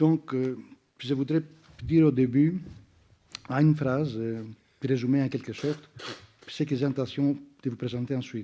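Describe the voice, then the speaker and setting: A man's medium-pitched, dark and mellow voice with a non-native accent, fairly even intonation, a moderate pace and long, frequent pauses. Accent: foreign accent in French. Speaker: sociologist. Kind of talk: academic round-table talk. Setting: conference with audience. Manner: hesitant, many fillers.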